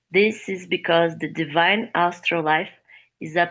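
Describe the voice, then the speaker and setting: A woman with a non-native accent speaks at a very slow pace. Her fairly low voice stays flat and monotone. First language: not English. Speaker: study group participant. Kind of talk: reading aloud.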